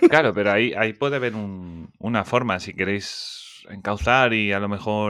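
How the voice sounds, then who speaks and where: This man has a normal speaking voice with fairly low pitch. He speaks at a fairly slow pace with ordinary pitch variation. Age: 30s. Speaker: podcast host. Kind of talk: casual interview chat.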